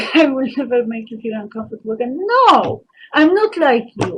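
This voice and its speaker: A woman speaks at a moderate pace in a Polish accent. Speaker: vlogger. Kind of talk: personal monologue. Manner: halting.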